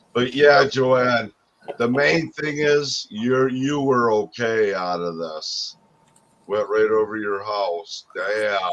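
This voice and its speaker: Speaking very slowly with an American accent, a man keeps his pitch variation ordinary. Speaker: streamer. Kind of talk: casual chat. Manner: loud.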